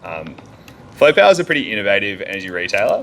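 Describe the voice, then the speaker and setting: A man talks with an Australian accent. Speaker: energy engineer. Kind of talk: conference talk. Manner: loud.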